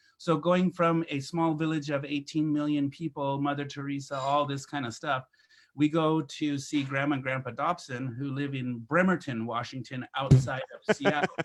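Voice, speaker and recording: A man with an American accent and an ordinary speaking voice talks at a moderate pace in a fairly high voice with fairly even intonation. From India and Egypt, missionary kid, then US. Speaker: photographer. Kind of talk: casual chat. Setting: live stream.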